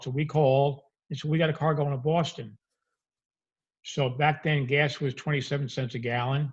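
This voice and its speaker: Fairly quick, somewhat breathy speech with an American accent and fairly even intonation. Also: man. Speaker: repossession business founder. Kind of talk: interview storytelling.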